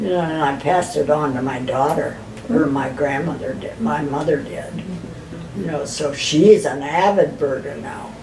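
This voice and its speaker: Over noticeable background noise, a woman talks with a very deep, low pitch. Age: 80s+. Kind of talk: interview answer. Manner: reminiscing.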